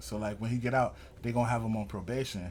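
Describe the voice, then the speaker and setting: Speaking at a fairly quick pace with an American accent, a man sounds somewhat breathy, his intonation fairly even. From Erie, Pennsylvania, US. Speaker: rapper. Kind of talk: interview. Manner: casual.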